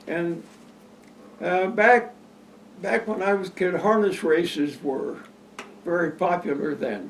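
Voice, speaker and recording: Against noticeable background noise, a man with a Midwestern American accent speaks in a high pitch with lively intonation and long, frequent pauses. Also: fairly slow pace. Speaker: local elder interviewee. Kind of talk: oral history interview.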